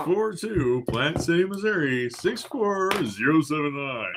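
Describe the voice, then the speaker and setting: A man puts on a character voice with a fairly high pitch and an upbeat tone. He speaks at a fairly slow pace over clear background noise. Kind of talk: announcer-style. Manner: upbeat, announcing.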